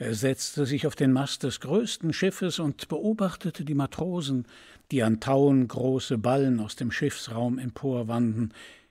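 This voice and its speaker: Speaking at a fairly slow pace, a man with a medium pitch and a dark, mellow tone shows ordinary pitch variation on a very clean recording with a silent background. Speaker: voice actor. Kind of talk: audiobook fairy tale reading.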